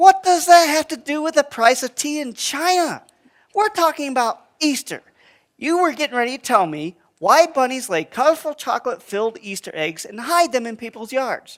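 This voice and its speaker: A high-pitched cartoonish character voice at a moderate pace. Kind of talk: puppet show dialogue.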